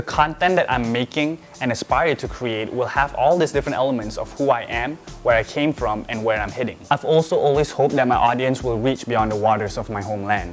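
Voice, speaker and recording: With music in the background, a man of medium pitch talks at a fairly quick pace with ordinary pitch variation. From Malaysia. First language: Malay. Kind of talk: casual talk to camera.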